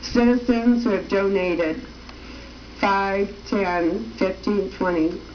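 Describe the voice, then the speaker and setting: With audible room echo and noticeable background noise, a woman talks at a very slow pace with lively intonation. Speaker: political candidate and TV show host. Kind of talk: campaign appeal on TV show. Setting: TV studio. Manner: slow, easy pace.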